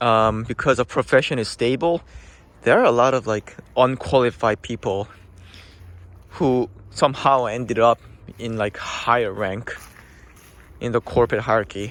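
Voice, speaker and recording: Pausing long and often, a man with a non-native accent speaks at a medium pitch and moderate pace with fairly even intonation, the sound dry and close with no echo. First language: not English. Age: middle-aged. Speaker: accountant vlogger. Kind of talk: casual vlog monologue. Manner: hesitant, many fillers.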